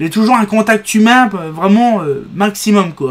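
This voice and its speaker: A man with a high pitch at a fairly slow pace. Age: 30s. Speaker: video blogger with epilepsy. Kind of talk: casual monologue to camera. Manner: halting, word-finding pauses and restarts.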